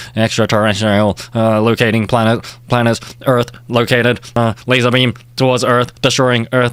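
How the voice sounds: In a put-on robotic character voice, the speaker keeps a monotone, flat intonation at a moderate pace. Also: man, medium pitch for a man.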